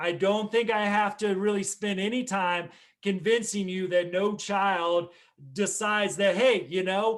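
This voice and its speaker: A loud man speaks at a fairly slow pace with a high pitch and fairly even intonation. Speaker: mental health professional and conference speaker. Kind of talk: conference keynote talk.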